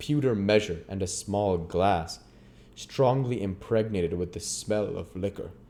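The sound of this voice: The voice reads in an unforced manner, its pitch varying in an ordinary way.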